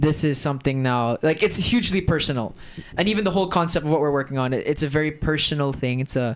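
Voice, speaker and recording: Talking at a very fast pace with an American accent, a man uses a fairly high pitch, ordinary pitch variation and very even loudness. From Germany. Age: 20s. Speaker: actor and creative entrepreneur. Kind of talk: casual podcast chat.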